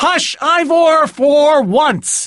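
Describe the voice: A man puts on a character voice at an extremely high pitch, with a fairly bright tone. His delivery is very slow, and the intonation is lively.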